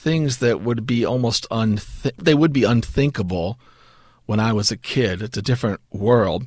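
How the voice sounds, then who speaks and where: This is a man with a normal speaking voice, medium in pitch with ordinary pitch variation, at a moderate pace. The recording is very clean, with a silent background. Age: 50s. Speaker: seminary professor. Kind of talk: interview.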